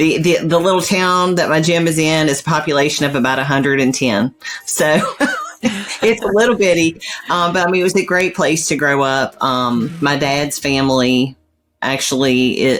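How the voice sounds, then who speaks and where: With a Virginia accent, a woman speaks at a moderate pace with lively intonation. Her loudness stays very even. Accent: country Virginia. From rural southwest Virginia. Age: 50s. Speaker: personal trainer and bodybuilder. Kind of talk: interview.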